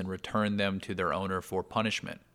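A man speaks in a fairly low pitch with an American accent and a bright, sharp tone. The recording is very clean, with a silent background. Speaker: podcaster. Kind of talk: casual monologue. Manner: calm.

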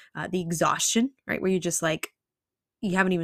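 Over a silent background in a very clean recording, a woman talks with vocal fry. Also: dry, close sound with no echo. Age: 30s. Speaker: nutrition and lifestyle practitioner, podcast host. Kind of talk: solo educational podcast monologue. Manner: casual, conversational with fillers.

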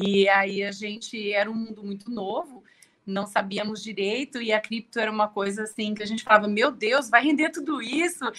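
Speaking in a normal speaking voice, a woman uses a fairly high pitch, ordinary pitch variation and a moderate pace. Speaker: tax lawyer. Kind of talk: live-stream interview. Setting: live YouTube stream.

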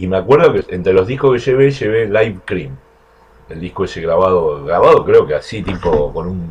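Big swings in loudness from a man keeping a moderate pace. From Argentina, Buenos Aires. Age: 60s. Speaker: bass player. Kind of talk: interview.

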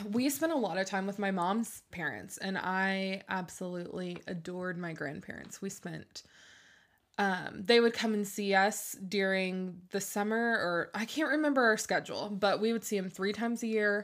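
A woman's unremarkable speaking voice at a medium pitch, with ordinary pitch variation and a fairly slow pace. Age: 20s. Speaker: podcast host. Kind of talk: casual chat. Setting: home bedroom recording.

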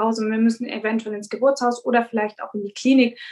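A woman's high-pitched voice in a monotone, flat intonation. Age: 30s. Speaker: midwife. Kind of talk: expert interview. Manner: hesitant, many filler sounds.

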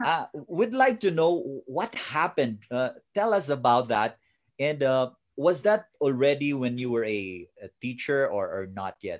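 At a fairly slow pace, a man with a fairly high pitch makes very wide pitch swings in a very clean recording with a silent background. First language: Tagalog/Filipino. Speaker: online show host, coach. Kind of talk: interview. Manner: halting with fillers.

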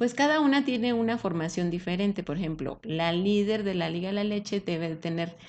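With an unremarkable speaking voice, a woman talks at a moderate pace and medium pitch, her intonation lively. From Mexico, Aguascalientes. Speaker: breastfeeding support leader. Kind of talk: interview.

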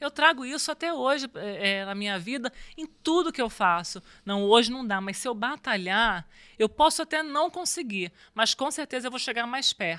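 On a very clean recording with a silent background and a dry, close sound with no echo, a woman speaks at a moderate pace in a high pitch with a bright, sharp tone and very wide pitch swings. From Rio de Janeiro, Brazil. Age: 40s. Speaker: former volleyball player. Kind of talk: interview.

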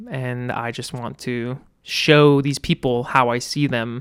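A man with a Californian accent. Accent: Californian American. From Northern California (El Dorado Hills, near Sacramento). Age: 20s. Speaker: photographer and musician. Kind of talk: casual chat.

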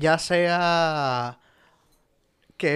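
A man with a Dominican accent and a fairly high pitch, on a very clean recording with a silent background. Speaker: podcast host. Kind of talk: casual chat.

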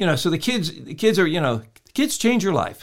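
The recording is very clean with a silent background. A man with an American accent speaks with lively intonation. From US Midwest, Illinois. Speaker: county politician. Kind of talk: interview. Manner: halting.

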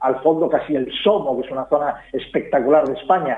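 Against noticeable background noise, a man talks at a moderate pace in a fairly high pitch with ordinary pitch variation. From Galicia, Spain. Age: 50s. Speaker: fashion commentator. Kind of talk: casual interview. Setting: phone call.

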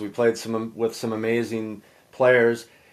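On a very clean recording with a silent background, a man with an American accent speaks at a fairly slow pace and a medium pitch. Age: 50s. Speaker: podcast host and hockey coach. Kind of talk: casual interview.

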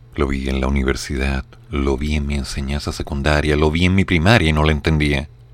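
Speaking at a fairly quick pace, a man with a very deep, low voice keeps his intonation fairly even over noticeable background noise. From Chile. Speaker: radio show host and commentator. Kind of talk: live radio news commentary. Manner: reading news aloud.

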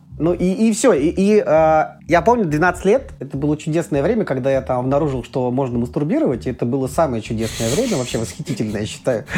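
Noticeable background noise sits behind a man talking at a very fast pace. His pitch is fairly high and swings very widely. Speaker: psychotherapist. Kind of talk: casual chat.

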